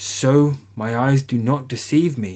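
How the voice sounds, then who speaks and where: A man's put-on character voice at a medium pitch. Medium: read story. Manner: gentle, wondering.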